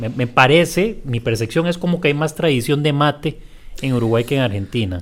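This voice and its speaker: A man with a plain, everyday voice, fairly high in pitch, at a fairly quick pace. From Costa Rica. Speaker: podcast host and teacher. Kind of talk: interview.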